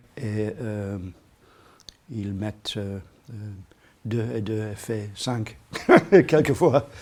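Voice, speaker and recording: Very slow and broken by long, frequent pauses, the speech has a dark, mellow tone, ordinary pitch variation and an English accent. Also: man, fairly low pitch for a man. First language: English (speaking French). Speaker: comics author and artist. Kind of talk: interview. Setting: bookshop signing. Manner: halting.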